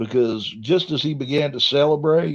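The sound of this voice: A man's medium-pitched voice with a slightly husky edge, ordinary pitch variation and a fairly slow pace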